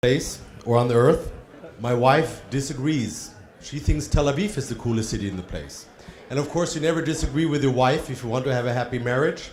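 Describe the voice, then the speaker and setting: Speaking with an American accent, a man holds a medium pitch with ordinary variation. He goes at a fairly quick pace, and room echo is audible. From Germany. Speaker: trade fair representative. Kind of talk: conference presentation. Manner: hesitant, with ums.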